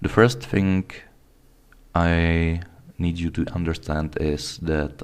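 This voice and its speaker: Someone with a non-native accent speaks at a very slow pace. The intonation stays fairly even. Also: man. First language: not English. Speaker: video blogger. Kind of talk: casual talk to camera. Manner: halting, with false starts.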